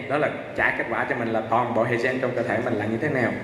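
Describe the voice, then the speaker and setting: The very fast speech comes with audible room echo and noticeable background noise. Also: man. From Vietnam. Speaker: medical lecturer. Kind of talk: conference presentation. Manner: halting, many fillers.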